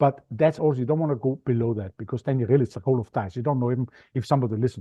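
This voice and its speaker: A man speaks with an Austrian accent. His pace is very fast. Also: medium pitch for a man, ordinary pitch variation. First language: German. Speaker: media expert, podcast guesting coach. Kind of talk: interview. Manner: animated.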